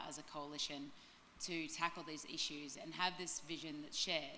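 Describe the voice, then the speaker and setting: Speaking fairly quickly in a flat monotone, a woman with an Australian accent has a very deep, low pitch, and the room echo is audible. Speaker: sustainability director. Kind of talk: panel discussion. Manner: many filler ums.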